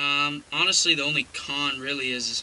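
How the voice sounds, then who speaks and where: Over light background noise, a man talks in a flat monotone. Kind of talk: casual vlog chat. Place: car. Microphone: phone near.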